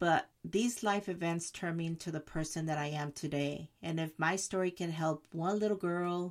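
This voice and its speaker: A woman in a Spanish accent, fairly low in pitch and fairly slow in pace, on a very clean recording with a silent background. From Jalisco, Mexico; moved to Oakland, California at seven. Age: 50s. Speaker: podcast host telling her life story. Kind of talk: personal storytelling monologue.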